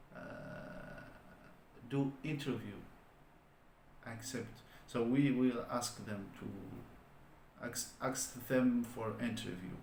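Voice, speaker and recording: Speaking at a very slow pace with long, frequent pauses and fairly even intonation, this voice has a non-native accent, audible room echo and noticeable background noise. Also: man, medium pitch for a man. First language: not English. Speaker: online business vlogger. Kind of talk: solo vlog monologue. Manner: halting, many fillers.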